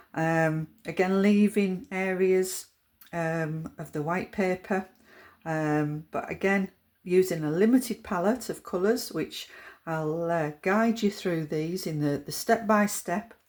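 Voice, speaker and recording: Very slowly, a woman speaks in a Yorkshire accent at medium pitch. The recording is very clean, with a silent background. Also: ordinary pitch variation. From Yorkshire, England. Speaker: watercolour art teacher. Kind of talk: tutorial. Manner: hesitant, many fillers.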